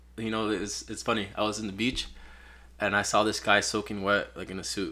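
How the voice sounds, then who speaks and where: A man's fairly low pitch with vocal fry and a bright, sharp tone, at a moderate pace and with fairly even intonation. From Peru. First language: Spanish. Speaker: photographer. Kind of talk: casual chat.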